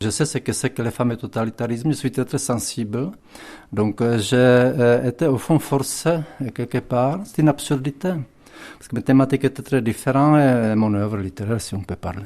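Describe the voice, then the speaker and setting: This voice has a Czech accent and a dark, mellow tone. It moves at a moderate pace with ordinary pitch variation. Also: man, medium pitch for a man. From Czech Republic, southern Bohemia (Tábor). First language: Czech (speaking French). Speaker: writer. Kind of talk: interview. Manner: halting, many fillers and repetitions.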